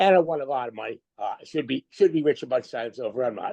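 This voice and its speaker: The man's voice sits at a fairly high pitch with ordinary pitch variation, recorded with a dry, close sound and no echo. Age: 60s. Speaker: professional poker player. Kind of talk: interview storytelling. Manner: halting.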